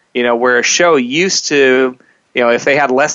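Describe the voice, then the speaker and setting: Using a normal speaking voice, a man talks at a fairly quick pace with fairly even intonation. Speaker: director of host services at a radio network. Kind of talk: radio interview.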